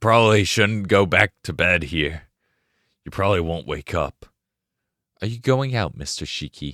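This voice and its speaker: Putting on a character voice, a man speaks in a raspy, fairly low voice at a moderate pace, with lively intonation, big swings in loudness and long, frequent pauses, recorded with a dry, close sound and no echo. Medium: read story. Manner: formal, polite.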